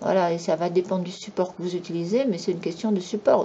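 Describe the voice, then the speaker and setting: A woman's medium-pitched voice is heard over noticeable background noise. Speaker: YouTube commentator. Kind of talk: monologue commentary. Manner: animated.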